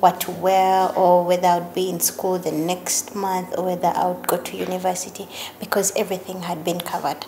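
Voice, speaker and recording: Over light background noise, a woman speaks at a fairly quick pace with monotone, flat intonation. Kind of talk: interview answer. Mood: warm, grateful, reflective. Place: home room.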